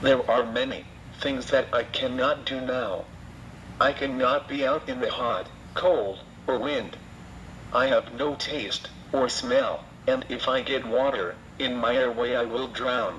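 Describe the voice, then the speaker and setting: With noticeable background noise behind him, a man talks at a fairly slow pace, leaving long, frequent pauses. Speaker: laryngectomy survivor and anti-smoking speaker. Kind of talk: testimony. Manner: slow, halting device speech.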